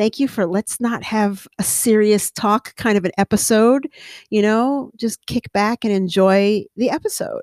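On a very clean recording with a silent background and a dry, close sound with no echo, a woman with an American accent and medium pitch speaks fairly slowly in an animated tone with ordinary pitch variation. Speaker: podcast host. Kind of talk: casual solo monologue. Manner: animated, laughs often.

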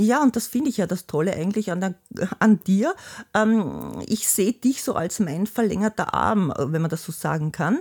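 A woman talks at a moderate pace with a medium pitch and lively intonation. Her voice is somewhat breathy, in a dry, close sound with no echo. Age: 60s. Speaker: host's mother, retiree. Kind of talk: casual interview. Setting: family home.

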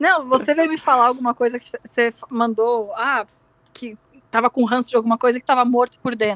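Recorded dry and close with no echo, a high-pitched woman speaks at a moderate pace with fairly even intonation and big swings in loudness. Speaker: podcast co-host. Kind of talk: casual chat. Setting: remote recording, not in the same place.

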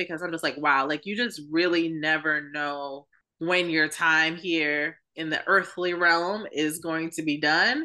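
Speaking at a fairly slow pace, a woman with a New York accent has a fairly low pitch and a bright, sharp tone. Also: quiet background. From New York City. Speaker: podcast co-host. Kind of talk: casual chat.

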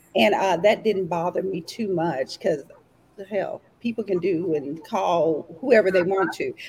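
A woman with an East Texas accent speaks at a fairly slow pace and medium pitch, with ordinary pitch variation. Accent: East Texas Southern US. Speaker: entrepreneur guest. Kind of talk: casual chat. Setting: video call.

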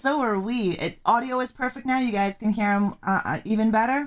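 A woman's mumbling at a fairly high pitch. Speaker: podcast host. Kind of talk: interview. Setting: video call.

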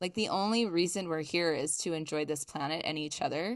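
A woman with an American accent has an ordinary speaking voice, fairly low in pitch with ordinary pitch variation. The background is quiet. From US East Coast. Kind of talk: casual interview.

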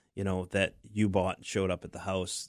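A man with an American accent and an ordinary speaking voice talks at a moderate pace and a fairly low pitch, the sound dry and close with no echo, in a very clean recording with a silent background. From southern Maine, US. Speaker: remodeling contractor. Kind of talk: radio interview.

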